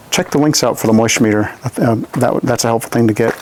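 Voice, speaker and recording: There is noticeable background noise. A man talks at a medium pitch. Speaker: tree care specialist. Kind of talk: on-site tutorial. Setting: outdoors. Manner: fast; casual with fillers.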